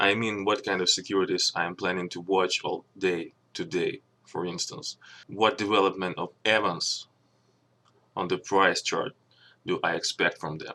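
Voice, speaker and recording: A man with a non-native accent, at a moderate pace. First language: not English. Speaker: stock trader and channel owner. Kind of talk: channel introduction and trading explanation. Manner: halting, with fillers.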